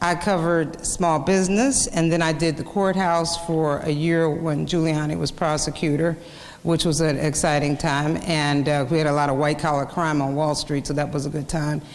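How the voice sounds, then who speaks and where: A woman with an American accent speaks at a moderate pace with hardly any pauses, her pitch very deep and low and her intonation fairly even. Her loudness stays very even, with noticeable background noise and audible room echo. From Kansas. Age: 50s. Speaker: journalist. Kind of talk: lecture. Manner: halting.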